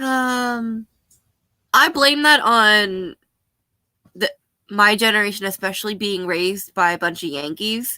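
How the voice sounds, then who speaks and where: Speaking at a fairly slow pace with long, frequent pauses, a woman uses a bright, sharp tone and lively intonation in a very clean recording with a silent background. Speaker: vlogger. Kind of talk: casual chat. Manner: casual, rambling with fillers.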